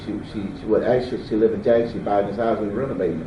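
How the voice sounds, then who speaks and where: Delivered at a very fast pace with a Mississippi Delta accent, the speech has audible room echo around it. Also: man. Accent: Southern US (Mississippi Delta). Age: 60s. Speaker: eyewitness. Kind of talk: interview. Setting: at home.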